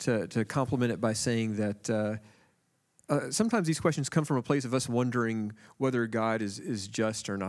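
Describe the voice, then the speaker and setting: Using an ordinary speaking voice, a man speaks at a fairly quick pace and medium pitch with ordinary pitch variation, on a very clean recording with a silent background. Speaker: panelist.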